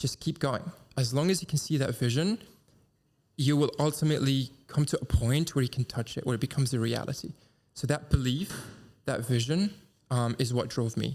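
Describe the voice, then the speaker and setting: A man talks at a fairly quick pace and medium pitch, somewhat breathy, with ordinary pitch variation and long, frequent pauses. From Dubai, UAE. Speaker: entrepreneur. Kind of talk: interview. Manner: fast; fluent, articulate.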